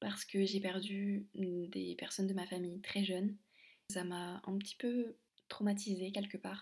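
A woman speaks fairly slowly in a medium pitch with monotone, flat intonation. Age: 20s. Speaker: podcaster. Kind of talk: personal monologue.

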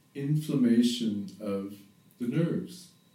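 In a dark, mellow tone, a man speaks fairly slowly with ordinary pitch variation and audible room echo. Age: 50s. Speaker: yoga teacher and therapist. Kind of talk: spiritual monologue. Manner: halting.

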